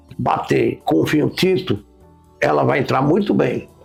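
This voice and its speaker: Fairly slow speech from a man, backed by music. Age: 70s. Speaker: wine expert host. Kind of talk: casual chat.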